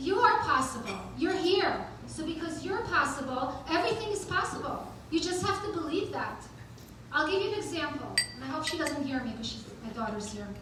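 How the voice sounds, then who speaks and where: A woman speaks at a fairly quick pace in an extremely high pitch, her animated tone marked by very wide pitch swings, with audible room echo and noticeable background noise. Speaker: event host and motivational speaker. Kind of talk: motivational talk. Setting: stage with audience. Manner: halting.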